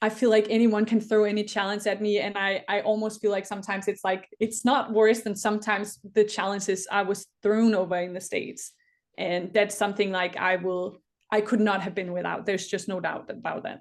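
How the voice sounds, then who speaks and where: A woman with a Danish accent speaks at a fairly quick pace in a medium pitch, her intonation monotone and flat against a quiet background. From Denmark. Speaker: Olympic rower. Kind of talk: interview. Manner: hesitant, many fillers and restarts.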